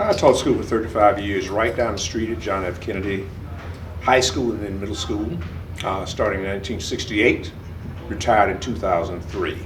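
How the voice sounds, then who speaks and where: Audible room echo surrounds a man speaking fairly quickly at a fairly low pitch, with ordinary pitch variation. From Florida, Palm Beach County. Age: 70s. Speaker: retired teacher and community leader. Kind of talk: oral history interview.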